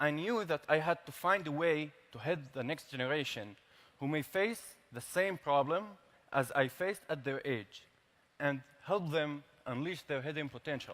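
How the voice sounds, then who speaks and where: A man in an Arabic accent speaks with long, frequent pauses and ordinary pitch variation. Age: 20s. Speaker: tech startup founder. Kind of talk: prepared speech. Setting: stage with large audience.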